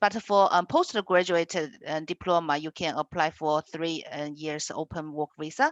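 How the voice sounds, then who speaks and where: A woman speaks at a fairly slow pace, the sound dry and close with no echo against a quiet background. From China. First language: Chinese. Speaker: education institute representative. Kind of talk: webinar presentation.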